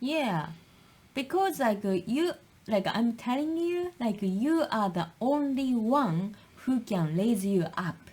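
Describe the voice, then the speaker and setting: With a Japanese accent, a woman speaks at a very slow pace and a fairly high pitch. Her pitch swings very widely while her loudness stays very even. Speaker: podcast co-host. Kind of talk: casual chat. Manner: halting.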